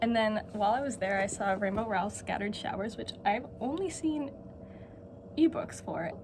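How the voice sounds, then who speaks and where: A woman at a moderate pace amid noticeable background noise and audible room echo. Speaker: book vlogger. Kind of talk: casual vlog. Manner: animated.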